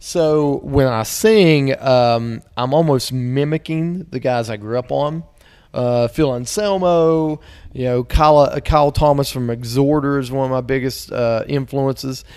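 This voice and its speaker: Over a quiet background, a man with a West Virginia accent speaks at a fairly slow pace. His pitch is fairly high, with ordinary pitch variation. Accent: West Virginia accent with twang. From Southern West Virginia. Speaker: metal band singer; interviewee. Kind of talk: casual interview. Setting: at a metal festival. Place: home room. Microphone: handheld.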